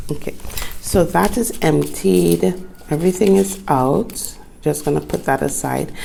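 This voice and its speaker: A woman at a fairly slow pace over noticeable background noise. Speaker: planner YouTuber. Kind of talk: tutorial. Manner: casual, chatty.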